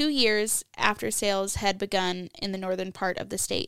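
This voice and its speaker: At a moderate pace, a woman with a plain, everyday voice speaks at medium pitch, in a very clean recording with a silent background and a dry, close sound with no echo. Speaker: beer podcast co-host. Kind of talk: casual chat.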